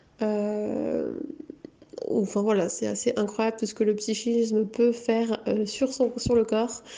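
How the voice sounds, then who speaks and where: Monotone, flat speech from a woman at a fairly high pitch and very slow pace, with noticeable background noise. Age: 20s. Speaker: psychomotor therapist. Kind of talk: interview. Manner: halting.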